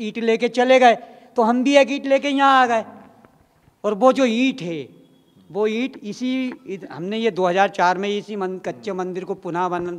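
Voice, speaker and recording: Speaking at a fairly slow pace, a man uses a high pitch with ordinary variation and big swings in loudness. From Bhopal, Madhya Pradesh, India. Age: 50s. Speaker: sadhu, former kar sevak. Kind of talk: interview testimony. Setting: in a temple. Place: church. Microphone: handheld.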